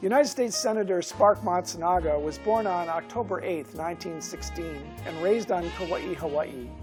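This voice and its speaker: The speech comes at a moderate pace with hardly any pauses. Music plays in the background. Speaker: talk show host. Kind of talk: TV talk show introduction.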